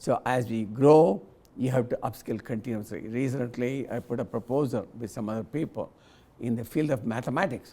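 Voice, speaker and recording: Speaking at a moderate pace, a man with a medium pitch has a dark, mellow tone and ordinary pitch variation. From India. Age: 80s+. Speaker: convocation guest speaker. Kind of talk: commencement speech. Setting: convocation ceremony with audience. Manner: halting with repetitions.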